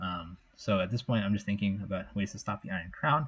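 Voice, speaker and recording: Somewhat breathy and fairly low in pitch, a man speaks at a fairly quick pace with fairly even intonation. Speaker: competitive video game champion. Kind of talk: casual commentary to camera. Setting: home microphone, low quality. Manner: hesitant, some stuttering.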